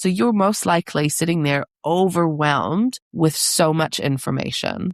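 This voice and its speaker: An ordinary speaking voice from a woman, fairly low in pitch, at a fairly slow pace with lively intonation and very even loudness, in a dry, close sound with no echo. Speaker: parent coach and podcast host. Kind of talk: podcast monologue.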